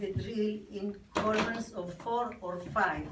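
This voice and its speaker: Very slow speech with fairly even intonation, amid audible room echo and noticeable background noise. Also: woman. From Israel. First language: Hebrew. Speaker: army veteran. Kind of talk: reading aloud. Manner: halting.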